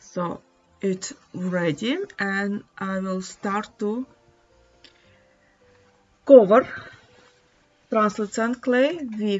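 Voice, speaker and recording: Very slow speech with long, frequent pauses, big swings in loudness, ordinary pitch variation and a non-native accent, over music in the background. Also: woman, medium pitch for a woman. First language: not English. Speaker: polymer clay artist. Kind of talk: craft tutorial narration. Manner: hesitant.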